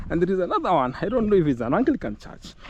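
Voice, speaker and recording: With a Kenyan accent, a man with a high pitch and an animated tone talks at a very fast pace. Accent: Kenyan English with Luhya. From Kenya, Luhya. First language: Luhya. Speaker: travel vlogger. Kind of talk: walking tour vlog. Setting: outdoors. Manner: conversational, animated.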